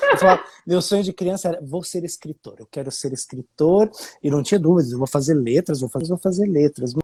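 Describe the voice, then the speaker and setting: In a slight Curitiba accent, a man talks at a fairly quick pace with fairly high pitch and ordinary pitch variation. His loudness swings widely, and the sound is dry and close with no echo. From Brazil, Curitiba. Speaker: musician. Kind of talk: casual interview chat. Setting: live video stream.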